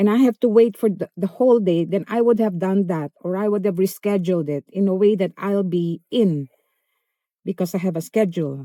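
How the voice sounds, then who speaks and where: On a very clean recording with a silent background, a woman speaks at medium pitch and a fairly quick pace. Her tone is dark and mellow, and the sound is dry and close with no echo. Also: ordinary pitch variation. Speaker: vlogger. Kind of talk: casual storytelling vlog. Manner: animated.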